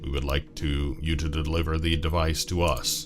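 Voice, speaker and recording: A man performs a put-on character voice with a resonant sound at a moderate pace while clear music plays in the background. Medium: solo performance. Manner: measured, formal, courteous.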